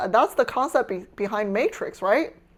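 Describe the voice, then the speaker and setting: A woman speaks in an animated tone. She has a Chinese accent. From China. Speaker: streamer. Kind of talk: casual live stream chat. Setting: home kitchen.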